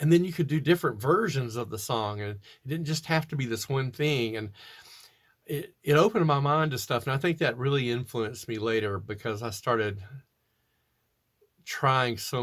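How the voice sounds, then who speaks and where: A man with an American accent speaks in a somewhat breathy voice with ordinary pitch variation. The recording is very clean with a silent background. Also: medium pitch for a man, moderate pace. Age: 60s. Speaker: doom metal musician. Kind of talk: interview answering read questions. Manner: casual, with fillers and restarts.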